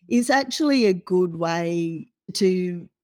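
In an Australian accent, a woman speaks with a fairly low pitch. Her tone is dark and mellow. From Australia (Perth). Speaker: financial planner. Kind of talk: interview.

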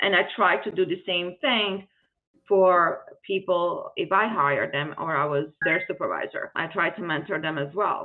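Speaking at a fairly slow pace with a non-native accent, a woman uses a fairly low pitch and ordinary pitch variation. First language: not English. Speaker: nonprofit founder, former finance executive. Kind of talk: interview.

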